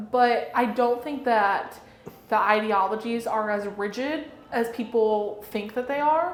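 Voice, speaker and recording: A woman with an American accent speaks at a fairly slow pace and a fairly high pitch. The room echo is audible, and background noise is noticeable. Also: ordinary pitch variation. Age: 20s. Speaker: political influencer. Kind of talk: interview.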